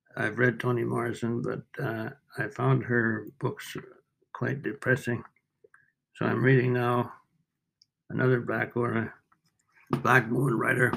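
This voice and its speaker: A man with a medium pitch and vocal fry talks in a monotone, flat intonation at a very slow pace, leaving long, frequent pauses. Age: 80s+. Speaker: retired documentary cameraman. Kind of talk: interview. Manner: halting.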